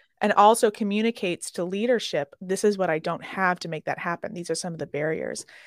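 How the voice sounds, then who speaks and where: On a very clean recording with a silent background and a dry, close sound with no echo, a woman with an American accent talks at a very fast pace with hardly any pauses, at medium pitch with ordinary pitch variation. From Chicago, US Midwest. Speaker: hospitality mental health consultant. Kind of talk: interview.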